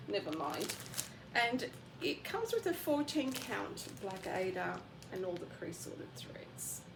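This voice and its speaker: A woman is speaking in a room with audible echo. Noticeable background noise is present too. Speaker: craft vlogger. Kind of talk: casual show-and-tell vlog. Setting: bedroom at home. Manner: quiet, keeping voice down.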